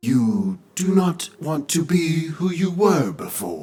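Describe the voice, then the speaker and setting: Middle-pitched, very slowly paced put-on character voice. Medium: read story. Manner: calm, measured.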